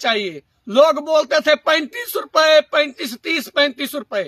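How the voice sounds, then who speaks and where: With a Punjabi accent, a man raises and projects an extremely high, bright, sharp voice, the sound dry and close with no echo. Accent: Punjabi-accented Hindi. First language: Punjabi (speaking Hindi). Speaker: social commentator. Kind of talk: monologue to camera. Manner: animated; halting.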